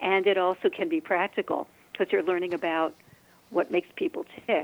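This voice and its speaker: A woman at a fairly quick pace with very wide pitch swings, in a dry, close sound with no echo. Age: 60s. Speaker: energy healer and face reader. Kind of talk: interview.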